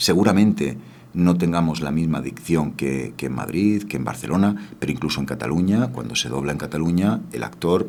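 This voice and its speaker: Lively intonation with audible room echo. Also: man, very deep, low pitch for a man, moderate pace. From Spain, Granada (Andalusia). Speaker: dubbing studio founder and voice actor. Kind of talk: radio interview.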